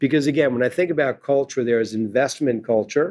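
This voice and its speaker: Talking at a fairly quick pace, a man with an unremarkable speaking voice keeps a medium pitch and ordinary pitch variation. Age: 60s. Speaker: investment firm founder and CEO. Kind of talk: interview. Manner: conversational.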